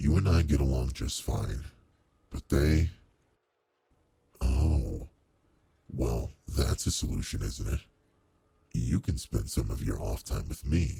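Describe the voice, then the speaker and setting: Putting on a character voice, a man speaks very deep and low at a fairly slow pace with long, frequent pauses. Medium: solo performance. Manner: formal, measured, commanding.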